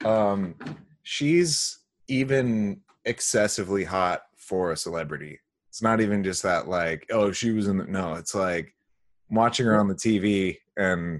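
Against a quiet background, a man talks at a fairly slow pace in a plain, everyday voice, fairly low in pitch with ordinary pitch variation. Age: 20s. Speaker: podcast co-host. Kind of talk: casual chat.

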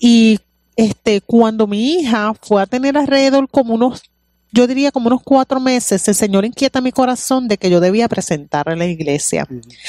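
A woman with a Puerto Rican accent talks at a moderate pace with lively intonation. Her fairly high voice has a dark, mellow tone, captured dry and close with no echo. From Puerto Rico. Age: 40s. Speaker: pastor. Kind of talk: testimony.

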